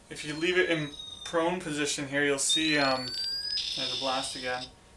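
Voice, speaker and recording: Over loud background noise, a man talks at a fairly slow pace in a fairly high voice. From Canada. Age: 20s. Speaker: teacher and maker. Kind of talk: casual talk to camera, TV host audition. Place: home room. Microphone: webcam.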